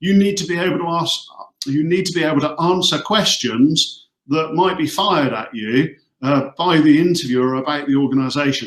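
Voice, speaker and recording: A man with a Hampshire accent speaks at a moderate pace, his fairly high pitch showing ordinary variation. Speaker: recruitment company executive. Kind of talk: career advice webinar. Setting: video call from office.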